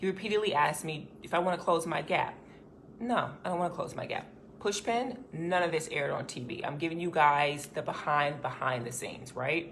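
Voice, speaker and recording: Audible room echo surrounds an animated speaker with an American accent, whose lively intonation moves at a fairly quick pace. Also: woman, fairly low pitch for a woman. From US South, Little Rock, Arkansas. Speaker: former reality show contestant. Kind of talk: personal statement to camera.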